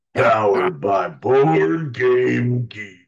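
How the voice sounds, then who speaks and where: Using a raspy, put-on character voice, a man talks at medium pitch. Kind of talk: movie trailer voice. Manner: angry, powerful.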